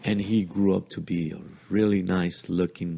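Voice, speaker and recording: Fairly slow and with fairly even intonation, a man with a Spanish accent speaks in a very deep, low pitch. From Mexico, Jalisco. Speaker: podcast guest, host's father. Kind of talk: casual chat, family storytelling. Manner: halting.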